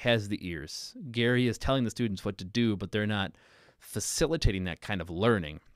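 In a very clean recording with a silent background, a man with an unremarkable speaking voice talks at a moderate pace, his fairly low pitch showing ordinary variation, the sound dry and close with no echo. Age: 30s. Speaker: podcast host and high school music teacher. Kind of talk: casual chat. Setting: live stream.

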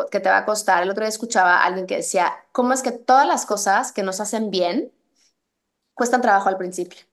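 Here is a woman with an ordinary speaking voice, fairly high in pitch and with ordinary pitch variation. She moves at a fairly quick pace over a quiet background. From Mexico. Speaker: fitness instructor and running coach. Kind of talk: casual interview.

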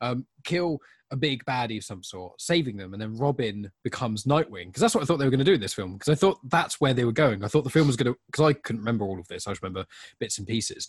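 Speaking at a very fast pace, a man with a medium-pitched, somewhat breathy voice uses lively intonation in a dry, close recording with no echo. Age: 20s. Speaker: podcast co-host. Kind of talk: casual chat.

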